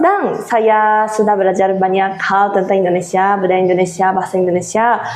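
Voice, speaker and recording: A woman at a medium pitch with monotone, flat intonation, very even loudness and hardly any pauses, with audible room echo and noticeable background noise. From Japan. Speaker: Japanese exchange teaching assistant. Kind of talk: interview. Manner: halting.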